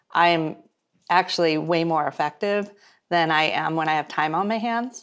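The background is quiet as a woman speaks with an American accent at a fairly low pitch. She talks fairly slowly, with fairly even intonation. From San Diego, California; California. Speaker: media and business entrepreneur; interview guest. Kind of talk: interview. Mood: warm, reflective. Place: home room.

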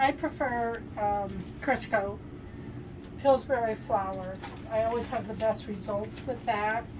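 Noticeable background noise sits under this recording. A woman speaks at a very slow pace. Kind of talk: casual cooking tutorial chat. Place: kitchen. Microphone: camera far.

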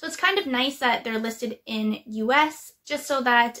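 The speech moves at a moderate pace. Behind it, the background is quiet. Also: woman. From Canada. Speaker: YouTuber, casual clothing reseller. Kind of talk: casual vlog tutorial. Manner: hesitant, frequent um fillers. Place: home room. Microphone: webcam.

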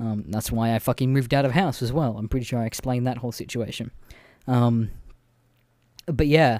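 On a very clean recording with a silent background, a man talks with an Australian accent in a medium pitch. His pace is fairly quick, broken by long, frequent pauses. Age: 20s. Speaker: podcaster. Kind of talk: casual monologue. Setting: bedroom.

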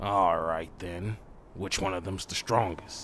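A man puts on a cartoonish character voice with a very deep, low pitch and monotone, flat intonation. He talks fairly slowly over clear background noise. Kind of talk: anime fandub acting. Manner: gruff, eager for a fight.

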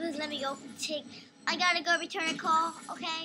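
A cartoonish character voice at an extremely high pitch and a moderate pace, over loud background noise. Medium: puppet show.

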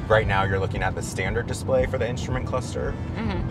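A man talks with ordinary pitch variation. The sound is dry with no echo, and clear music plays behind him. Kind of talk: product explanation to a host. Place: car.

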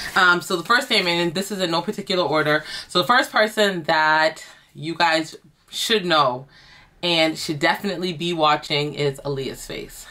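A woman talks at a moderate pace in a fairly low voice with a bright, sharp tone and ordinary pitch variation. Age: 30s. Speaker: YouTuber, lifestyle vlogger. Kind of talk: casual vlog talk to camera. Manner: animated, conversational.

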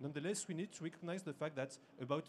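Against light background noise, a man talks in a somewhat breathy voice with ordinary pitch variation. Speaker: conference presenter. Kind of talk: lecture. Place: hall.

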